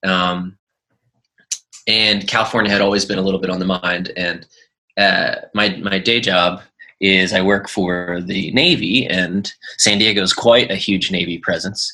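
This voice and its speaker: Speaking with a Philadelphia accent, a man keeps a fairly low pitch, monotone, flat intonation and a fairly slow pace. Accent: Philadelphia American English. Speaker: musician. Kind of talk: interview answer.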